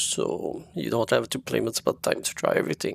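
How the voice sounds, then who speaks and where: A man speaks with a French-Canadian accent at a moderate pace. The sound is dry and close, with no echo. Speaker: video game reviewer. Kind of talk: review. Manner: halting.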